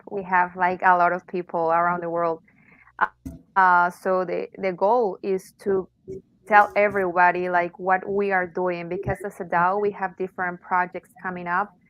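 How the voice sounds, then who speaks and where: With a Spanish accent, a woman speaks at a moderate pace. Her medium-pitched voice has monotone, flat intonation. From Mexico. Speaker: arts organization representative. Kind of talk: interview. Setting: online audio space. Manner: halting.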